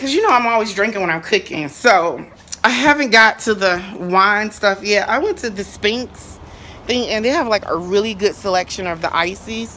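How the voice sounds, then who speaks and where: Lively intonation at a moderate pace, with light background noise. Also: woman. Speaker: home cook vlogger. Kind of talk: casual vlog chat. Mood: excited, upbeat. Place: garden. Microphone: phone near.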